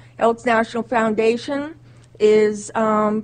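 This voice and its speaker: A woman's fairly high-pitched voice at a very slow pace. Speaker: community volunteer. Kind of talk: public address. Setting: city council chambers. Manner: loud.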